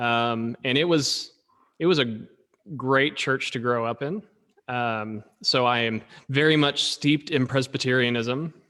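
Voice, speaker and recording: A man with an Oklahoma accent speaks fairly slowly at a medium pitch, in a bright, sharp tone with ordinary pitch variation. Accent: Oklahoma American. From Oklahoma, Tulsa. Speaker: pastor. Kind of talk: casual chat.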